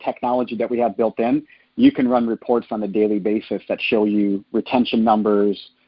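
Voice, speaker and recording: A man with a Minnesota accent speaks at a fairly quick pace. His voice sits at a medium pitch. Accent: Upper Midwest (Minnesota), noticeable. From northern Minnesota. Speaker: franchise sales executive. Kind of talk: conference call Q&A. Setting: phone conference call. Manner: casual, filler-heavy with uh.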